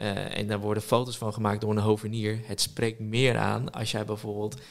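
With monotone, flat intonation, the words come at a moderate pace. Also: man. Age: 20s. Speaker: social media entrepreneur. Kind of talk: casual chat.

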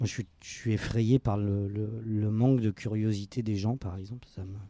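Fairly slow and fairly low, a man's voice carries a dark, mellow tone and fairly even intonation. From France, Lyon. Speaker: actor and drama teacher. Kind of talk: interview conversation. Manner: hesitant, repeats words.

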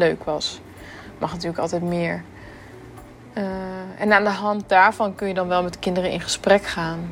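Her voice sits at a medium pitch. The intonation stays monotone and flat throughout. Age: 20s. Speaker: primary school teacher. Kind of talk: audio diary.

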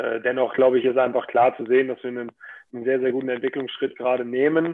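At a fairly quick clip, a man with a normal speaking voice holds a medium pitch and fairly even intonation. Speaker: professional handball player. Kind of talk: casual interview.

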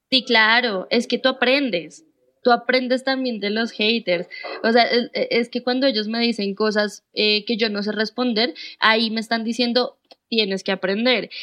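A woman's normal speaking voice, fairly high in pitch, fairly slow, with fairly even intonation. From Colombia, Bogotá. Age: 20s. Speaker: booktuber and journalist. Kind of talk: casual interview chat.

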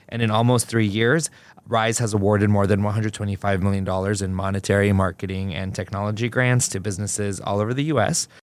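Very fast speech from a man, fairly low in pitch, with fairly even intonation. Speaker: podcast host, journalist. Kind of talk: podcast interview, scripted intro.

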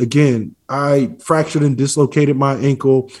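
Here is an ordinary speaking voice, a man's, pitched fairly high. He speaks at a moderate pace on a very clean recording with a silent background. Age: 40s. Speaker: former pro football player. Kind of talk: interview.

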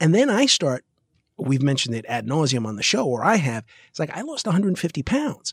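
A man speaks at a fairly high pitch, his voice somewhat breathy. His pitch swings very widely. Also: fairly quick pace. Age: 50s. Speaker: podcast co-host. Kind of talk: casual chat.

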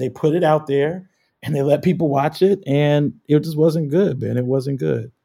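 With an American accent, a man speaks in a dark, mellow tone at a fairly high pitch. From Chicago. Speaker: community organizer. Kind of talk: casual chat.

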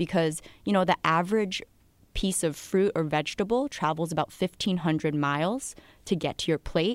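A woman with an unremarkable speaking voice at a moderate pace, ordinary pitch variation, in a very clean recording with a silent background and a dry, close sound with no echo. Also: fairly low pitch for a woman, very even loudness. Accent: American. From US Northeast, New Jersey and Connecticut near New York City. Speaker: financial journalist. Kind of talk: casual chat.

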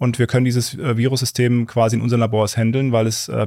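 This man talks at a very fast pace with fairly even intonation. His pitch sits in the medium range. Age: 30s. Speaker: scientist. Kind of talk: interview. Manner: halting.

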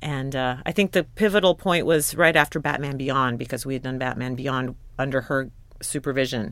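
A woman with an American accent speaks at a very deep, low pitch with ordinary pitch variation. The recording is very clean, with a silent background. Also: moderate pace. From US Pacific Northwest (Portland, Oregon). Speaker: film and TV composer. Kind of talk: interview conversation. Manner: hesitant, with frequent fillers and repeated words.

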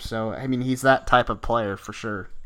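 A man with an American accent uses a normal speaking voice, a medium pitch and a moderate pace. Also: very clean recording, silent background. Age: 20s. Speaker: sports podcast host. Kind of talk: casual chat.

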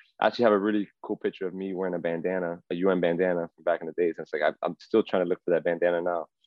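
Speaking very fast with hardly any pauses, a man with an American accent uses a very deep, low pitch, monotone flat intonation and big swings in loudness. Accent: Miami Cuban American English. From South Florida, Miami. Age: 30s. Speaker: former professional baseball player. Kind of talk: casual interview.

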